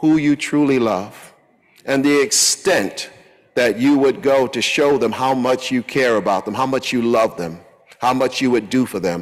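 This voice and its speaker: Against a quiet background, the speaker goes at a fairly slow pace with ordinary pitch variation. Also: man. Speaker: pastor. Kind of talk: sermon. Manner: animated; earnest. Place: church. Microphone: podium.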